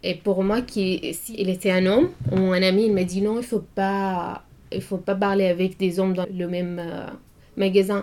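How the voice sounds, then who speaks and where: Dark, mellow female voice in an Arabic accent, fairly slow and monotone with flat intonation. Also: medium pitch for a woman. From Syria. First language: Arabic (speaking French). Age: 20s. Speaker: student. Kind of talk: interview. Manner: halting.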